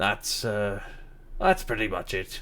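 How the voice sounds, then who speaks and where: A man speaks loud in a booming, put-on character voice. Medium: actual play. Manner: friendly, hospitable.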